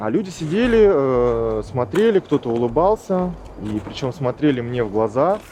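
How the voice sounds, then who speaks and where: A man at a medium pitch speaks at a moderate pace with very wide pitch swings against noticeable background noise. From Buryatia, Ulan-Ude. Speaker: interviewee. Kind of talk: interview testimony.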